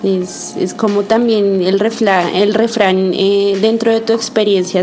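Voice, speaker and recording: Music plays behind a woman who speaks at a very slow pace with monotone, flat intonation. Her voice carries audible room echo. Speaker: community radio podcast host. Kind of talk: casual chat. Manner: halting, with fillers.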